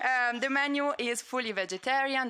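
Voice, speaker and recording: In a very clean recording with a silent background, a woman with an Italian accent speaks in a bright, sharp tone. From Italy. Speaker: conference organizer. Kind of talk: conference opening remarks and housekeeping announcements. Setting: conference room with audience and livestream. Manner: hesitant, with frequent fillers.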